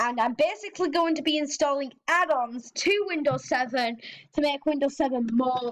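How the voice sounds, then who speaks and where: A woman speaks at a moderate pace. Her voice sits high in pitch. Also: very even loudness. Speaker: tech YouTuber demonstrating old operating systems. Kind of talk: screen-recorded tutorial with commentary. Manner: casual, slightly halting.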